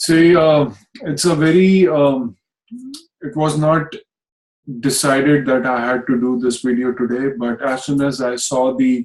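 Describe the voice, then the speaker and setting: With medium pitch and ordinary pitch variation, a man talks at a fairly slow pace, leaving long, frequent pauses. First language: Hindi. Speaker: astrologer. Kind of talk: video talk. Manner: hesitant, many fillers.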